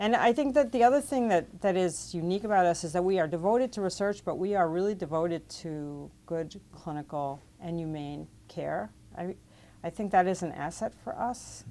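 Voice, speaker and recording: A woman with a fairly low pitch, a dark, mellow tone and lively intonation, at a moderate pace. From New York City (Brooklyn); New York City. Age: 60s. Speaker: physician and medical researcher. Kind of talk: interview. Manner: halting, many fillers and restarts. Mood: reflective, proud. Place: studio. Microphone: lapel.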